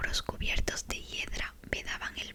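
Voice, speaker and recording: A woman whispers in a calm tone. Noticeable background noise can be heard. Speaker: ASMR creator. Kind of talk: ASMR bedtime book reading. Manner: soft-spoken, slow, calm.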